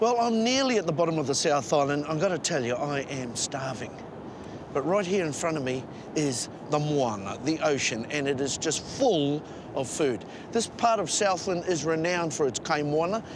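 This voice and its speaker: In a New Zealand accent, the speaker uses lively intonation at a moderate pace, with noticeable background noise and audible room echo. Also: man, fairly high pitch for a man. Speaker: travel show presenter. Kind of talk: presenting to camera; casual chat.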